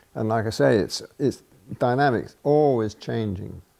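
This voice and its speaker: A man speaks with a British accent and lively intonation. The background is quiet. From Britain. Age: 80s+. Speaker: painter. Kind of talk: documentary interview answer. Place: studio. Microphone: lapel.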